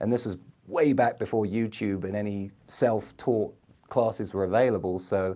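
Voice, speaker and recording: A man's fairly low voice with a dark, mellow tone and an English accent, at a moderate pace with ordinary pitch variation, in a very clean recording with a silent background. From England, London. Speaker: marketing video producer, entrepreneur. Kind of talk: podcast interview.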